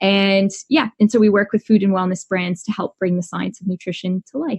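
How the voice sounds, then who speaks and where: A woman's somewhat breathy, medium-pitched voice with a Canadian accent and ordinary pitch variation. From Canada. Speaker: dietitian. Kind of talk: podcast interview.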